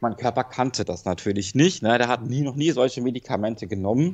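A man speaks at a moderate pace. His pitch is medium. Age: 30s. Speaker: rehab patient recovering from drug addiction. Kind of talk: personal testimony in phone interview. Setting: phone call from rehab clinic. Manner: halting, many fillers.

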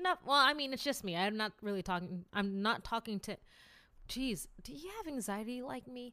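Against a silent background in a very clean recording, a woman with an American accent speaks at a moderate pace in a fairly high pitch, her tone animated and her pitch swinging very widely. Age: 20s. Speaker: podcast host. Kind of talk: casual solo monologue, podcast intro. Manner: animated, laughs often, stumbles on words; self-deprecating, humorous.

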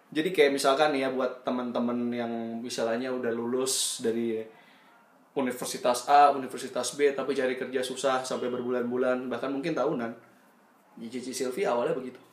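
Speaking at a fairly quick pace, a man with a medium pitch keeps a flat, monotone delivery amid noticeable background noise and audible room echo. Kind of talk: casual chat.

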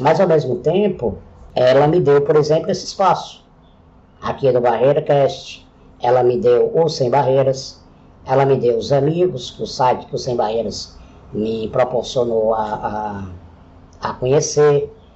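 The man's voice is somewhat breathy and fairly high in pitch. He moves at a fairly slow pace with long, frequent pauses. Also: ordinary pitch variation. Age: 40s. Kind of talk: solo podcast monologue.

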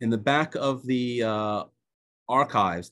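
Over a quiet background, a man speaks in a medium pitch with an Israeli accent. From United States. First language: Hebrew. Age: 50s. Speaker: author and psychologist. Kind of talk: book presentation. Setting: video call.

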